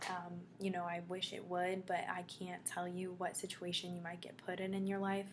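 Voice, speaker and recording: The woman's voice sits at a medium pitch and moves at a moderate pace with monotone, flat intonation. Audible room echo surrounds her. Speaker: vlogger. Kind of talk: casual vlog. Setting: dorm room.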